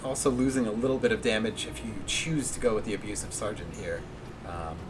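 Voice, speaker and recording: Quiet speech at a fairly quick pace, ordinary pitch variation, audible room echo and noticeable background noise. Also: man, medium pitch for a man. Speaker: esports caster. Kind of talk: live commentary. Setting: livestream at home. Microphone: too quiet.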